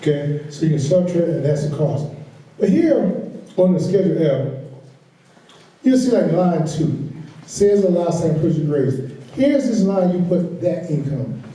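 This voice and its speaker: A loud, high-pitched man speaks with lively intonation and long, frequent pauses. Audible room echo and noticeable background noise fill the recording. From US South, South Carolina. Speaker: agricultural finance trainer. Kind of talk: workshop lecture. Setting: workshop room with audience.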